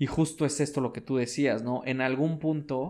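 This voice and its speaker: Fairly slow and fairly even in intonation, a man speaks in a Mexican accent with a fairly high pitch. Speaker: podcast co-host. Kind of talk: casual chat.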